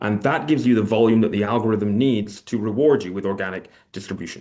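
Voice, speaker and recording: A man speaks very fast in a fairly low voice with a dark, mellow tone and ordinary pitch variation. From Scotland. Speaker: e-commerce entrepreneur and agency owner. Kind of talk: webinar presentation. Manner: hesitant, many fillers.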